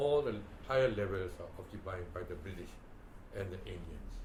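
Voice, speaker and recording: Amid noticeable background noise and audible room echo, a man talks at a moderate pace and medium pitch with lively intonation. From Myanmar, Delta region. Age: 80s+. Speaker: former ambassador and educationalist. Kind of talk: oral history interview. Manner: halting, many fillers.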